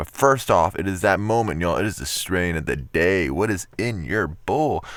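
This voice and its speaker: With an animated tone and some vocal fry, a man talks at a moderate pace. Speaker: YouTuber reading scary stories. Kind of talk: casual chat.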